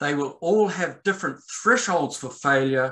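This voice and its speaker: With a New Zealand accent, the speaker sounds bright and sharp, with lively intonation. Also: man. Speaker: landslide scientist. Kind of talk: presentation to landowners.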